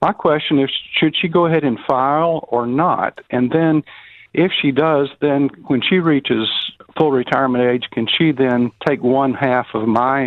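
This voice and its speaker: The speaker has a Southern US accent. The pace is fairly slow, with ordinary pitch variation. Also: man. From South Carolina. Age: 60s. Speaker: radio caller. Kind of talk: phone-in question. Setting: phone call.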